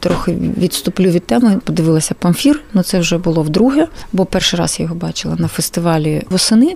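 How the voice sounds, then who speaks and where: Against noticeable background noise, a woman with a Russian accent talks at a fairly quick pace in a fairly low pitch with lively intonation. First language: Russian (speaking Ukrainian). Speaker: film archive director. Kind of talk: radio interview.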